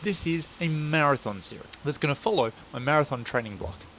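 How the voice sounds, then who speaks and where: With an Australian accent, a man speaks at a fairly high pitch in an animated tone. His pitch swings very widely. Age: 30s. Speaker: running vlogger. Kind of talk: vlog.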